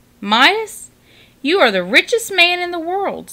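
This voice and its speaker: A put-on character voice comes through squeaky and extremely high in pitch. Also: moderate pace. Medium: read story. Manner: measured, solemn.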